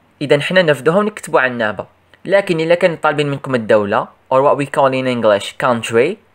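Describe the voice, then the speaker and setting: With an Algerian accent, a man talks at a fairly quick pace and fairly high pitch, making very wide pitch swings. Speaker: English teacher for primary pupils. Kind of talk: tutorial.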